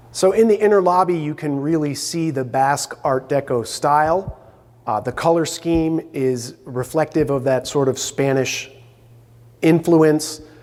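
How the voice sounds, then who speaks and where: A man with an ordinary speaking voice, fairly high pitch, ordinary pitch variation and a fairly slow pace. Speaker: arts center director giving a tour. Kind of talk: guided tour. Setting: indoors, theater lobby.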